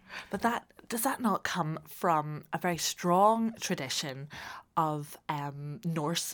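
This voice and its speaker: A woman with a Northern Irish accent speaks at a very deep, low pitch in a very clean recording with a silent background. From Northern Ireland. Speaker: podcast host. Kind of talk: interview.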